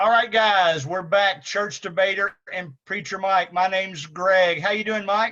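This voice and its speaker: A man speaks at a fairly slow pace with hardly any pauses, his high voice raised and projected. His tone is bright and sharp, and his intonation fairly even. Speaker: church show co-host. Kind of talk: casual chat. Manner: halting.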